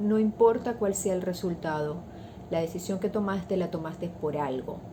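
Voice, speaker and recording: A soft-spoken woman with a medium pitch and a dark, mellow tone sounds somewhat breathy, with ordinary pitch variation. Audible room echo is present. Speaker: values teacher. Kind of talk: talk on values.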